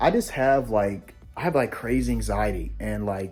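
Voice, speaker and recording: A man is speaking. Music plays in the background. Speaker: gaming YouTuber. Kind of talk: casual room tour vlog. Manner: fast; stuttering over words.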